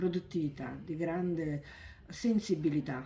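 A woman's very deep, low voice, dark and mellow in tone and somewhat breathy, at a fairly slow pace with ordinary pitch variation over light background noise. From southern Italy, Naples area. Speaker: book author. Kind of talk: interview. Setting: bookshop event. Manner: halting, with many repetitions. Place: shop. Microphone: phone near.

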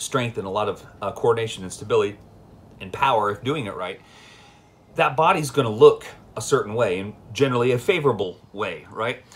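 Speaking at a fairly quick pace, a man sounds somewhat breathy, his loudness swinging widely. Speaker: fitness coach. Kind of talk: casual vlog chat. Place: home room. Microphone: phone near.

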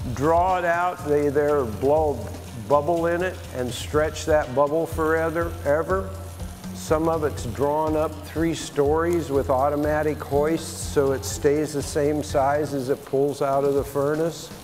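Clear music plays in the background. A man speaks at a fairly slow pace. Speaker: glass artist demonstrating. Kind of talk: tutorial. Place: bar. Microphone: lapel.

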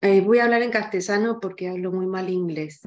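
Fairly even intonation from a woman at a moderate pace. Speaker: audience member. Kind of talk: Q&A question. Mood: polite, thoughtful. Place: home room. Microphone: video call.

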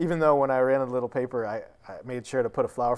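A man talks with an American accent. His pace is very fast. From New Bedford, Massachusetts; Massachusetts. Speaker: ceramicist and poet; poet. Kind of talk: interview. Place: studio.

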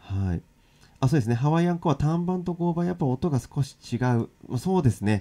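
A man's dark, mellow tone, with lively intonation at a fairly quick pace. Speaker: ukulele and guitar teacher; ukulele teacher. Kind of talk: live-streamed lesson. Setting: live stream. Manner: casual, filler-heavy. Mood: relaxed, friendly. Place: home room. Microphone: crackling audio noise; studio mic.

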